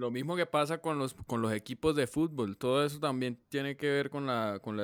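A man talks at a fairly quick pace in a fairly high voice with ordinary pitch variation. It is an ordinary speaking voice, recorded with a dry, close sound and no echo. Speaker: podcast co-host. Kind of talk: casual chat.

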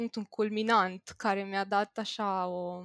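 In a very clean recording with a silent background, a woman speaks at a very slow pace, the sound dry and close with no echo. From Bucharest, Romania. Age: 20s. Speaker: IT worker. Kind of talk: casual chat.

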